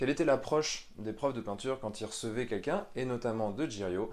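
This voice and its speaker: At a fairly quick pace, a man talks with a normal speaking voice and ordinary pitch variation. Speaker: miniature painting youtuber. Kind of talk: vlog. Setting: outdoors, walking.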